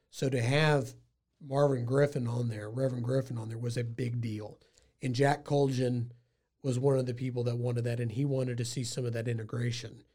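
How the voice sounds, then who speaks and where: In an American accent, a man with a dark, mellow, somewhat breathy voice of medium pitch talks at a fairly quick pace in a flat monotone. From Texas, Waco. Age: 30s. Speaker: lawyer and local historian. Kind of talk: casual interview.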